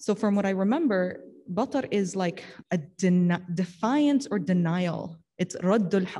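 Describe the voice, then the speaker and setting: A woman's somewhat breathy, dark, mellow voice at medium pitch and a fairly slow pace. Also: ordinary pitch variation. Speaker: religious teacher. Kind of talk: religious study discussion.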